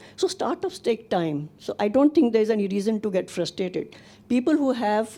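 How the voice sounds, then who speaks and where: A woman of medium pitch speaks at a fairly quick pace against noticeable background noise. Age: 60s. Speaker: nonprofit founder, audience member. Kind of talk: audience comment at panel discussion.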